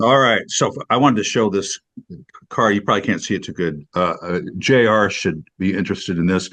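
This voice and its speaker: A man talks at a fairly low pitch with ordinary pitch variation. The background is quiet. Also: fairly quick pace. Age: 60s. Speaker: video studio business owner. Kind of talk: casual chat. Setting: video call. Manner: halting.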